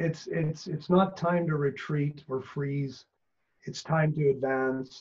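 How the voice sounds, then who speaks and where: Somewhat breathy, a man with a Canadian accent speaks at a fairly slow pace. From Canada. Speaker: business coach. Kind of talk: casual interview chat.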